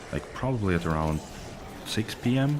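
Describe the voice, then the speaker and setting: Music plays in the background as a man speaks in a Russian accent. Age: 30s. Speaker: video game streamer. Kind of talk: casual chat. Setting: live stream.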